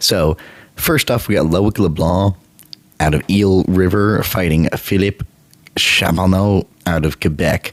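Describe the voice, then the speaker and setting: Noticeable background noise surrounds a man with a very deep, low pitch who speaks fairly slowly, his intonation fairly even and loudness very even. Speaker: MMA prediction channel host. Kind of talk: casual fight predictions talk.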